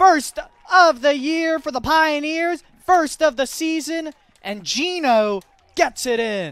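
A man's extremely high voice at a very slow pace, with ordinary pitch variation and a dry sound with no echo. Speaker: sports play-by-play commentator. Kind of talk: live sports commentary over match highlights. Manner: exclaims goals with nicknames, clipped short phrases. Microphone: headset.

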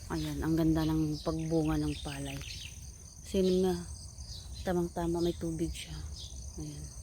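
A woman speaks at a fairly slow pace with long, frequent pauses, amid audible room echo and noticeable background noise. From Philippines, Visayas. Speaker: vlogger, overseas worker. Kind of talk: casual vlog narration. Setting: outdoors on a farm.

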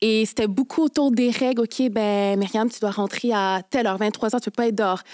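In a plain, everyday voice, a woman with a fairly high pitch speaks at a fairly quick pace with hardly any pauses and fairly even intonation against a quiet background. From Quebec, Haitian parents. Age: 20s. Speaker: lawyer. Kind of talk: testimony. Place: studio. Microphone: studio mic.

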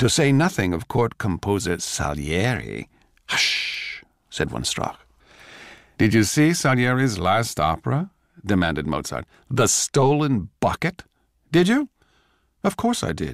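A man with vocal fry speaks at a fairly slow pace, with long, frequent pauses and very wide pitch swings, in a very clean recording with a silent background and a dry, close sound with no echo. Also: medium pitch for a man. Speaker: actor. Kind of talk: radio drama reading.

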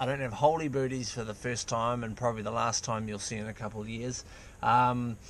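A man talks at a fairly quick pace with monotone, flat intonation. Light background noise is present, and the sound is dry with no echo. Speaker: vlogger. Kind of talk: casual vlog chat. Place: car. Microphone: phone near.

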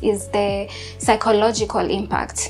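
A woman speaks with faint music in the background. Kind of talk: interview answer. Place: kitchen. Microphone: lapel.

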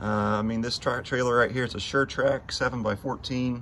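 Light background noise sits under a man talking at a moderate pace. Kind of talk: casual vlog chat. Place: street. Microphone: phone near.

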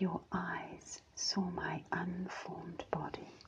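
The speaker is soft-spoken, with light background noise behind the voice. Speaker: scripture reader. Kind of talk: devotional scripture reading. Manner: soft, hushed ASMR reading voice.

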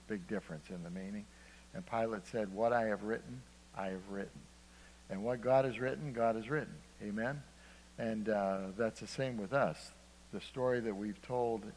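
Over light background noise, a man with a fairly low pitch speaks at a moderate pace, with ordinary pitch variation and long, frequent pauses. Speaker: preacher. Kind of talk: sermon. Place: church.

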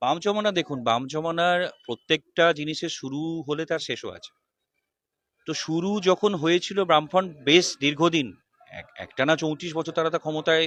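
The sound is dry with no echo as a man speaks at a fairly high pitch with fairly even intonation. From West Bengal. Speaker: political party worker. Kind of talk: interview. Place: street. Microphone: handheld.

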